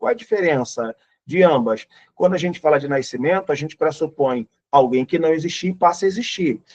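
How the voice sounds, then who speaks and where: An unremarkable speaking voice with lively intonation moves at a moderate pace in a dry, close sound with no echo. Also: man. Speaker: pastor and Bible teacher. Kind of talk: Bible lesson lecture.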